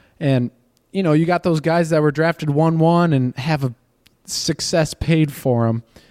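A man with a plain, everyday voice talks at a moderate pace in a fairly high pitch, the sound dry and close with no echo. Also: fairly even intonation. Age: 20s. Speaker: baseball pitcher. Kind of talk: casual chat. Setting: spring training site.

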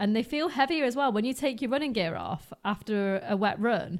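With a British accent, a woman speaks at a fairly high pitch with lively intonation and a moderate pace. The recording is very clean, with a silent background. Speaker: podcast host and runner. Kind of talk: casual chat. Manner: casual, conversational.

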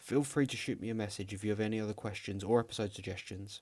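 The speaker talks in a London accent at a fairly quick pace. The intonation stays fairly even. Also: man. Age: 20s. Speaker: podcast host, psychology student. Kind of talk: scripted podcast trailer. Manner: calm, not shouty.

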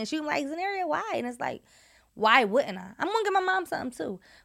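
A woman speaks very fast in a high pitch with a bright, sharp tone. The recording is very clean, with a silent background. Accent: American. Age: 20s. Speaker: podcast co-host. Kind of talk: casual chat.

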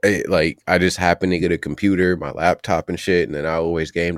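A man with an American accent and a very deep, low pitch speaks at a fairly quick pace, recorded very clean and dry, close with no echo over a silent background. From Ohio, US. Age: 30s. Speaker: content creator. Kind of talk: casual interview chat.

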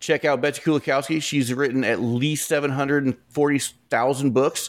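Speaking at a fairly slow pace, a man uses a normal speaking voice in a very clean recording with a silent background. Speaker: author and podcaster. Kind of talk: casual storytelling interview.

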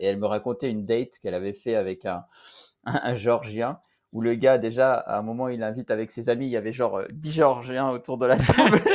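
A man with a normal speaking voice talks at a fairly quick pace in a medium pitch. His intonation is fairly even, and the background is quiet. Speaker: podcast host. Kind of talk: casual chat.

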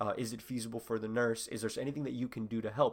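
Talking at a very fast pace, a man keeps to a medium pitch. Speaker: medical student podcast host. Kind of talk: casual solo explainer monologue.

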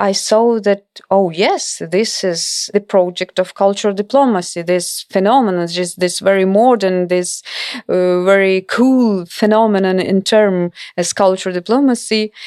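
A woman speaks at a medium pitch with a Ukrainian accent. Her pace is moderate and her intonation fairly even. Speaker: cultural diplomacy scholar and author. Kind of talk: interview. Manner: halting.

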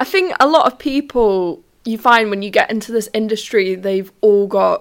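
A woman with a London accent at a moderate pace, on a very clean recording with a silent background. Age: 20s. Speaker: podcast host and trainee ambulance technician. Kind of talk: casual monologue. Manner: hesitant, many fillers.

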